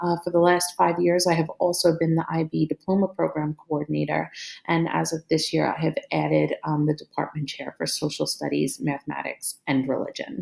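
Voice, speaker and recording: A woman with a Brooklyn accent speaks at a moderate pace, with hardly any pauses. The sound is dry and close, with no echo. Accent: New York (Brooklyn). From Brooklyn, New York. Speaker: teacher and school administrator. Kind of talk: recorded course presentation. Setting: screen recording. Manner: hesitant, many fillers.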